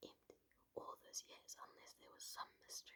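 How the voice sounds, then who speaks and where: A woman is whispering. Her pace is moderate. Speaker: ASMR creator. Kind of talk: ASMR bedtime story reading. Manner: whispered, close-mic, soft-spoken.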